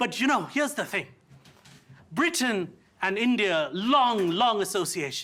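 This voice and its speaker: A raised, projected voice with a bright, sharp tone comes at a fairly slow pace. Its pitch swings very widely. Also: man. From India. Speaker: stand-up comedian. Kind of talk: stand-up comedy performance.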